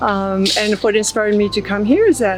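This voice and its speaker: Over background music, a woman talks at a moderate pace and medium pitch, with ordinary pitch variation. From southern France. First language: French. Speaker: artist. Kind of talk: casual interview. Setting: outdoor festival.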